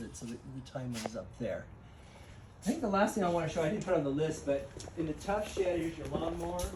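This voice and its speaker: A high-pitched man talks very fast with lively intonation. Both room echo and background noise are noticeable. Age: 60s. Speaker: home seller. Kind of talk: home walkthrough tour. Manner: casual, halting.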